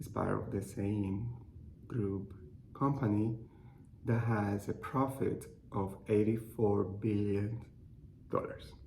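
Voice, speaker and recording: A man with a Cuban accent and fairly low pitch talks at a very slow pace with long, frequent pauses. There is audible room echo. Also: ordinary pitch variation. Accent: noticeable Cuban Spanish. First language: Spanish. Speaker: clinical research associate. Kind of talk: personal testimony. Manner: halting.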